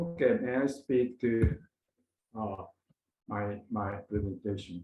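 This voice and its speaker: A somewhat breathy male voice at a very slow pace. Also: medium pitch for a man, ordinary pitch variation. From Japan (Osaka). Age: 70s. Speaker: retired pharmaceutical executive. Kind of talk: conference presentation. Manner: halting, many filler sounds.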